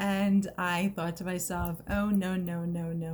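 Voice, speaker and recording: Somewhat breathy, very slow speech in an American accent, with monotone, flat intonation. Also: woman. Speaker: personal growth vlogger. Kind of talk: personal vlog testimony. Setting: recorded video, not live. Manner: emotional, voice may crack; halting, many fillers.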